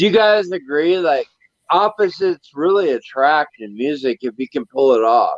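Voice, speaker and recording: Lively intonation marks this unremarkable speaking voice at a moderate pace, with a dry, close sound and no echo. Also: man, fairly high pitch for a man. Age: 50s. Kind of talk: casual chat.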